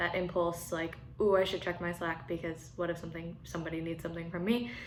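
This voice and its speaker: A woman with a General American accent speaks at a fairly low pitch, with audible room echo around her. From Colorado. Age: 20s. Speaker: churchgoer sharing faith practice. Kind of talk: testimony. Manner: casual, with frequent fillers.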